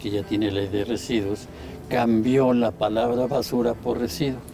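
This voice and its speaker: A man speaks at a fairly slow pace in a medium-pitched voice with fairly even intonation over noticeable background noise. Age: 70s. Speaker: environmentalist. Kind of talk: interview. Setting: at his home.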